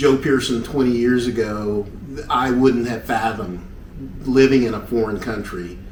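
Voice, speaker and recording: A man with a Southern US accent talks at a moderate pace and medium pitch with ordinary pitch variation, amid audible room echo and noticeable background noise. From US South, Knoxville, Tennessee. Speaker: retired army helicopter pilot. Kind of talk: casual interview.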